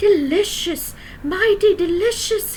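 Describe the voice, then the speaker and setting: Putting on a squeaky character voice at an extremely high pitch, a woman speaks at a fairly slow pace over light background noise. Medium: read story. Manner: friendly, eager.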